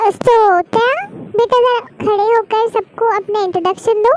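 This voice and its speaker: A woman's put-on character voice at an extremely high pitch, moderate pace, fairly even intonation and very even loudness, in a dry, close sound with no echo. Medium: read story. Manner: brisk, motherly.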